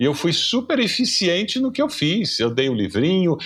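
This man's voice carries vocal fry and moves through very wide pitch swings. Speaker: pastor and seminary professor. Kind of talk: casual chat. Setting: video call.

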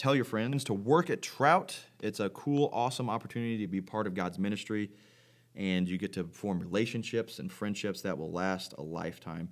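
An American-accented man with a fairly low pitch, lively intonation, a moderate pace and an ordinary speaking voice. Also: very clean recording, silent background. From Missouri, Farmington. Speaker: Bible camp intern, podcast co-host. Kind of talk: casual chat.

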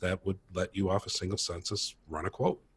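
Recorded very cleanly against a silent background, with a dry, close sound and no echo, a man with an American accent speaks at a fairly quick pace, somewhat breathy and fairly low in pitch. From Minnesota, US Midwest. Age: 50s. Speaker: tech startup co-founder, insurance broker. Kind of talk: casual interview.

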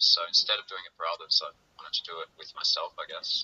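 A man speaks with an Australian accent. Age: 30s. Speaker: musician. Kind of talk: casual chat.

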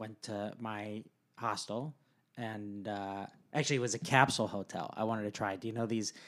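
A man talks in a plain, everyday voice with an American accent, pitched fairly low at a moderate pace. The recording is very clean with a silent background. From San Diego, California. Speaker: guest, married to a co-guest. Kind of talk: casual conversational interview.

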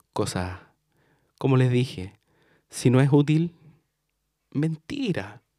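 This man has a Chilean accent. His tone is dark and mellow. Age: 20s. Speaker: podcast host and tarot reader. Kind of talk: casual monologue.

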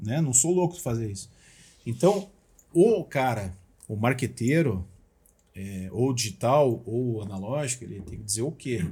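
Somewhat breathy man's voice, dark and mellow, with lively intonation, big swings in loudness, a fairly slow pace and long, frequent pauses. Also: medium pitch for a man. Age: 40s. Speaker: motivational speaker. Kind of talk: casual chat.

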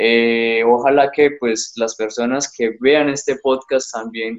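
With fairly even intonation, a man delivers his words at a very slow pace. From Colombia, Bucaramanga (Santander). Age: 20s. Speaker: young entrepreneur, panela producer. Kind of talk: interview. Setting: remote call from an isolated rural area.

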